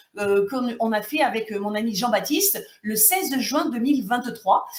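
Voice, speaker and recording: A woman's high, lively voice over noticeable background noise. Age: 60s. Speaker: YouTuber and former teacher in dispute. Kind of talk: video monologue. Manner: hesitant, many fillers.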